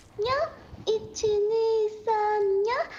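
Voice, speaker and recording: A put-on character voice sounds squeaky at an extremely high pitch. Background noise is clearly heard. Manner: cute, meowing.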